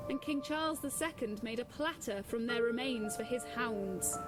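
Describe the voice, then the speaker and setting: There is music behind this recording. A woman talks fairly slowly over it. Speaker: actor. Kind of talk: ghost story narration. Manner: dramatic.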